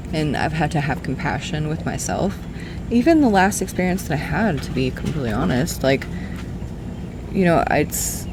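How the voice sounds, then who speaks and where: There is noticeable background noise. The speaker is soft-spoken. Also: moderate pace. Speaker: beauty vlogger. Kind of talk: casual chat. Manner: rambling.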